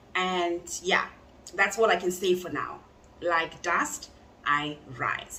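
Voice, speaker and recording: A woman speaks very slowly with long, frequent pauses and ordinary pitch variation, over noticeable background noise. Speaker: true crime youtuber. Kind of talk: true crime storytelling. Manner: loud.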